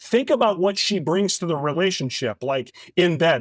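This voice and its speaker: In a very clean recording with a silent background and a dry, close sound with no echo, a man speaks with an American accent. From US Midwest, St. Louis, Missouri. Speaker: actor and guest co-host. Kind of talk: casual chat. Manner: halting.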